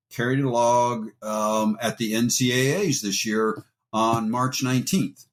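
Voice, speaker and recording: Here a man uses an unremarkable speaking voice at medium pitch with fairly even intonation. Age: 60s. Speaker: actor and former wrestler. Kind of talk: interview. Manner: casual, conversational.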